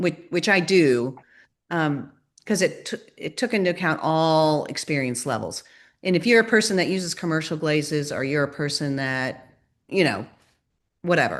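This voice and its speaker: A woman with a very deep, low pitch and lively intonation at a moderate pace, with long, frequent pauses over a quiet background. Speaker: sculptor, ceramic artist. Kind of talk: presentation with Q&A on video call.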